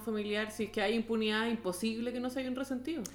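A woman with a Chilean accent speaks at a fairly high pitch with fairly even intonation. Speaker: podcast host. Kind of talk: casual chat.

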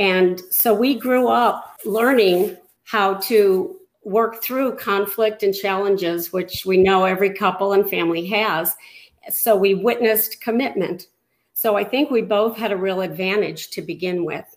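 A woman with an American accent and an unremarkable speaking voice, medium pitch, ordinary pitch variation and a fairly slow pace. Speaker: married guest. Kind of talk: interview.

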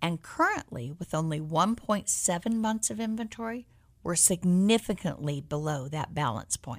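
With an American accent, a woman speaks at a moderate pace, her fairly low pitch moving in very wide swings. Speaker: real estate agent and radio host. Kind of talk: radio talk show, conversational but polished. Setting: radio studio, live broadcast.

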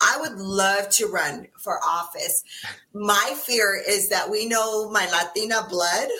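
With an American accent, a woman speaks at a very slow pace and a medium pitch, with ordinary pitch variation. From New Mexico, US Southwest. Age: 50s. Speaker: political activist. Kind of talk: casual interview.

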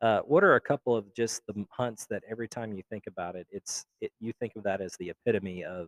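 Recorded very cleanly with a silent background and a dry, close sound with no echo, a man with an ordinary speaking voice talks at a fairly quick pace, his fairly low pitch showing ordinary variation. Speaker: podcast host. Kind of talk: casual interview. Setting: live at a festival, in a lobby.

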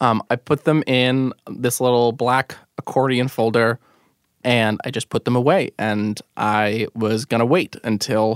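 In an unremarkable speaking voice with an American accent, a man talks fairly slowly at medium pitch with fairly even intonation, the sound dry and close with no echo on a very clean recording with a silent background. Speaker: radio producer and storyteller. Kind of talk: personal storytelling narration.

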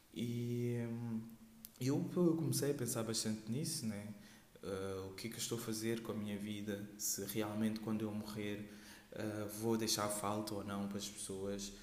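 A man talks in a fairly flat, even tone, his voice echoing in the room over clearly audible background noise. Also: fairly low pitch for a man, fairly slow pace. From Portugal. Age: 20s. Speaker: podcaster. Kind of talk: casual monologue. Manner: hesitant.

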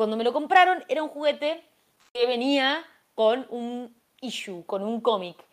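Her high voice carries lively intonation and big swings in loudness as the woman speaks at a fairly slow pace. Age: 20s. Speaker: YouTuber. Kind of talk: casual chat. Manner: halting, repeats words.

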